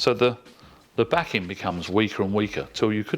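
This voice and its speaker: Fairly low in pitch, a man speaks with ordinary pitch variation. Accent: English. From England. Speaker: product specialist. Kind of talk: tutorial.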